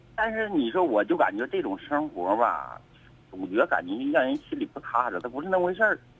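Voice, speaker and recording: Speaking at a fairly quick pace, a man with a fairly high voice swings his pitch very widely. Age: 30s. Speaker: caller, chauffeur and army veteran. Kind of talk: radio call-in. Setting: phone call.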